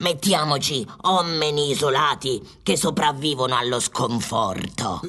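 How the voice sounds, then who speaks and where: The speaker talks at a fairly slow pace with a low-to-middle pitch. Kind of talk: absurdist radio comedy. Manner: exclamatory, theatrical, bossy.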